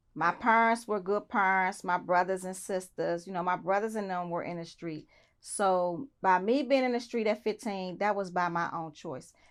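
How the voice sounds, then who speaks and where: In an unremarkable speaking voice with an American accent, a woman speaks at a moderate pace and medium pitch, with ordinary pitch variation, hardly any pauses, and a very clean recording with a silent background. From Southeast Washington DC. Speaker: interview guest. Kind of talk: interview.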